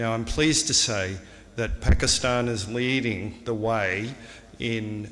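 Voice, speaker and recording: In an Australian accent, a man speaks with a fairly low voice, ordinary pitch variation, and audible room echo. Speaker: surgeon. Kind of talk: conference speech.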